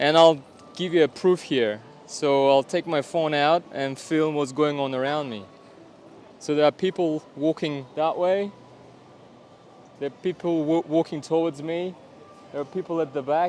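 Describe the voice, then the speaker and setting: With a Russian accent, a man speaks in fairly even intonation, with long, frequent pauses. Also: fairly high pitch for a man. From Kazakhstan, Almaty. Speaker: vlogger. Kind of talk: vlog to camera. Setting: outdoors in public. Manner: deliberate pauses, avoiding filler words.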